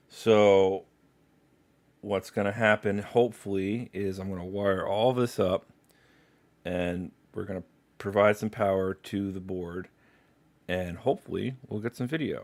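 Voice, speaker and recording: Fairly slow speech with fairly even intonation, on a very clean recording over a silent background. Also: man. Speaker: livestreamer doing electronics repair. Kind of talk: live stream tutorial. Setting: live stream at workbench.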